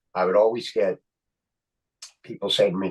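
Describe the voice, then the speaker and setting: A man speaks at a fairly quick pace with a Philadelphia accent. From Philadelphia, Kensington. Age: 60s. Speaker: actor and comedian. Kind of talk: casual chat. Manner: animated.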